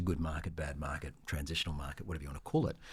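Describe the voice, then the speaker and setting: The man's voice is somewhat breathy. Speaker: auctioneer. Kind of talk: podcast interview answer.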